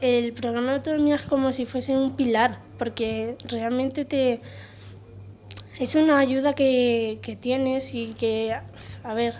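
A woman's high-pitched, monotone, flat delivery at a fairly slow pace, with long, frequent pauses and light background noise. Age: young. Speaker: program participant. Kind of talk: interview. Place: office. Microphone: handheld.

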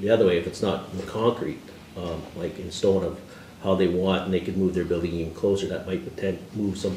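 Speaking at a fairly quick pace in a monotone, flat delivery, a man with a very deep, low voice is heard with audible room echo and light background noise. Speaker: deputy mayor, council member. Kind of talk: meeting discussion question. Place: meeting room. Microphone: camera far.

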